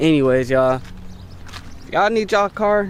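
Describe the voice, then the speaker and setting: Noticeable background noise sits behind a man speaking at a moderate pace. His intonation is lively. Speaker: car vlogger. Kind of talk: casual vlog talk to camera. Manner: stuttering; animated.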